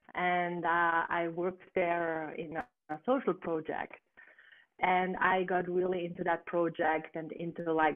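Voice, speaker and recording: A woman talks at a very slow pace with a fairly low pitch. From northern Italy, German-speaking region near Austria. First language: German. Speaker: plant medicine practitioner. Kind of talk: interview. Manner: soft.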